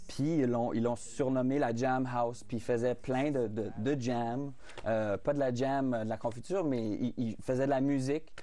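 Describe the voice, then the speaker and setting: The man's voice is medium in pitch with a dark, mellow tone and very even loudness, at a fairly slow pace. Audible room echo surrounds it. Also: fairly even intonation. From Saskatchewan, Canada (Fransaskois, rural farm). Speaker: singer-songwriter. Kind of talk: TV interview. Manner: halting, many repetitions and fillers.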